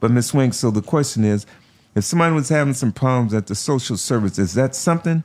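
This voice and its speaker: In a very clean recording with a silent background, a man speaks very fast at medium pitch, his intonation lively and his loudness very even. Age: 60s. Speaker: podcast host. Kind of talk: interview. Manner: animated.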